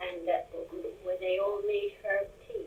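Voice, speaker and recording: A woman keeps a moderate pace while noticeable background noise carries on. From Forest of Dean, Gloucestershire. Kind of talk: interview answer.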